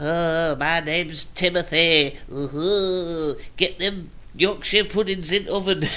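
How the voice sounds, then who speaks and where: A man uses a put-on character voice. It sits high in pitch and moves at a fairly slow pace. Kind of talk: folksy, colloquial.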